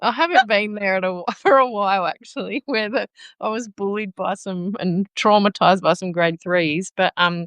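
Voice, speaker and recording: A woman's medium pitch with an Australian accent, ordinary pitch variation and a moderate pace, in a dry, close sound with no echo. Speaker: teacher. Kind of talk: casual chat. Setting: live video stream.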